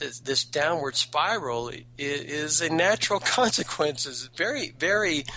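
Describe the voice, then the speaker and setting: A man's fairly high voice at a fairly slow pace, with hardly any pauses, over noticeable background noise. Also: lively intonation. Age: 50s. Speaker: caller. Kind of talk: call-in talk radio debate. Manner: halting, repeats words.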